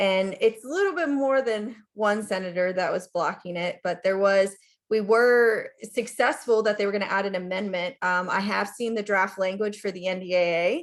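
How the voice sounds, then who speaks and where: A woman at medium pitch with ordinary pitch variation against a quiet background. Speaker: government contracting consultant. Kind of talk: webinar presentation. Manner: fast.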